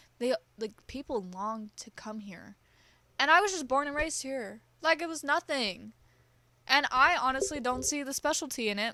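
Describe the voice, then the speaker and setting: A woman with an American accent sounds animated, her intonation lively. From US West Coast, California Bay Area. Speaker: podcast host. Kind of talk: casual monologue.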